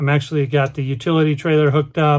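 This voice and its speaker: Against a quiet background, a man speaks somewhat breathily at a fairly quick pace. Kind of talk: casual vlog chat. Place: car. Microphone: phone near.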